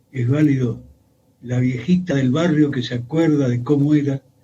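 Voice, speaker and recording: A man speaks at a moderate pace and a medium pitch. His tone is dark and mellow, and somewhat breathy. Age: 70s. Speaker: historian. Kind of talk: radio interview.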